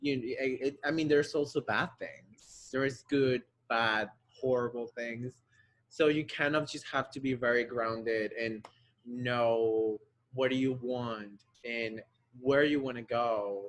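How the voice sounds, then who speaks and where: With a Spanish accent, a man of medium pitch talks at a fairly slow pace with fairly even intonation. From Colombia, Bogota. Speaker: ballet dancer. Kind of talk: interview. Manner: halting.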